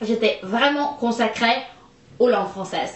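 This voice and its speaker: This woman has a fairly high pitch and an American accent. The recording carries audible room echo and noticeable background noise. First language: English (speaking French). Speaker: vlogger. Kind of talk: casual chat. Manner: halting, many hesitations.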